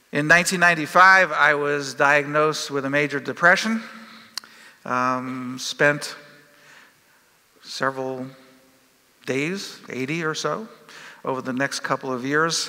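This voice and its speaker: Noticeable background noise is present. The speaker goes at a fairly slow pace. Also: man, long, frequent pauses. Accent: American. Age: 60s. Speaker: professor. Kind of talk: conference talk. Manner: halting, many fillers.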